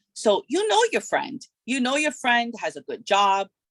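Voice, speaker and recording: A woman's plain, everyday voice with lively intonation at a fairly slow pace, on a very clean recording with a silent background and a dry, close sound with no echo. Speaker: financial advisor. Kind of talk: workshop presentation.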